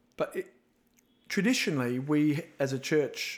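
Speaking with an Australian accent, a man varies his pitch in an ordinary way. The background is silent and the recording very clean. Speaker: evangelism minister. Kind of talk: casual interview chat. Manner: animated, jokey.

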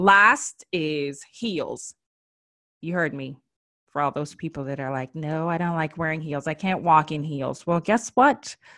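This woman has a very deep, low pitch and a bright, sharp tone, with ordinary pitch variation. She talks at a fairly slow pace. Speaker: style and beauty expert, podcast host. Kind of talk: casual solo podcast talk with tips. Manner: animated, chatty.

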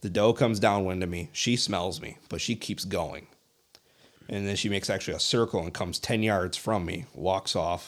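Here a man speaks in a plain, everyday voice with a fairly low pitch. His pace is moderate and his pitch variation ordinary. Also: very clean recording, silent background. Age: 20s. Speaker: deer hunter. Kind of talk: casual chat.

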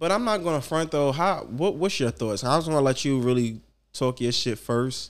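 Lively intonation carries along at a moderate pace with very even loudness. The recording is very clean, with a silent background. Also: man, fairly high pitch for a man. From New York. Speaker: podcast co-host. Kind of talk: casual chat. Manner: animated.

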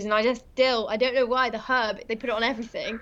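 A woman with a southern English accent, speaking at a very fast pace in a monotone, flat intonation. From England. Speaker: rally driver. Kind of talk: interview. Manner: hesitant, frequent um fillers.

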